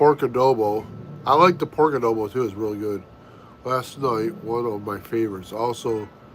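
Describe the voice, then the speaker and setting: Over noticeable background noise, a man with an American accent talks at a moderate pace and a medium pitch. He takes long, frequent pauses, with ordinary pitch variation. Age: 50s. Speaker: family vlogger. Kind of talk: casual live-stream chat.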